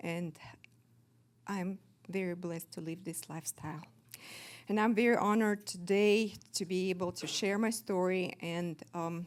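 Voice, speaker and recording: A woman with a Russian accent speaks at a medium pitch with fairly even intonation and long, frequent pauses, on a very clean recording with a silent background. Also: moderate pace. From Kazakhstan. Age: 50s. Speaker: recovering alcoholic sharing her story. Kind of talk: testimony. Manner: halting, many fillers.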